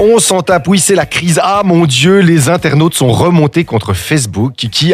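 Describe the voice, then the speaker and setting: Very wide pitch swings mark the somewhat breathy voice of a man. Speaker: radio host. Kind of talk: humorous radio column. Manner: ranting, animated.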